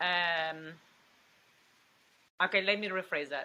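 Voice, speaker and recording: A woman speaks with a strong Mexican accent. Her pace is fairly slow, and her pitch varies in an ordinary way. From Mexico, Coatzacoalcos (Veracruz). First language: Spanish. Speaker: actress. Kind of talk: interview. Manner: halting, many restarts.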